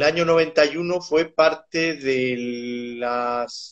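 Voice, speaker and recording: A man talks at a very slow pace with ordinary pitch variation. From Mexico City. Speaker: animal nutrition scientist. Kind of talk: interview.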